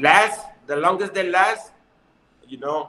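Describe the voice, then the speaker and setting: A man's voice carries audible room echo. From Mexico. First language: Spanish. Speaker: professional boxer; guest. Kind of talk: interview. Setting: video call. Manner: halting. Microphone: video call.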